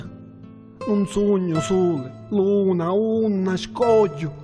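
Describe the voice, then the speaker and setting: Over music in the background, a man talks in a high voice with lively intonation. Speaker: poet. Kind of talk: poetry reading.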